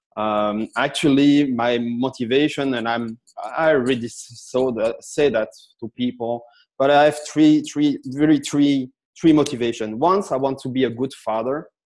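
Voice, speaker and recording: A man's normal speaking voice at medium pitch, with a moderate pace and fairly even intonation. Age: 40s. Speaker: sales expert. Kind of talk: interview.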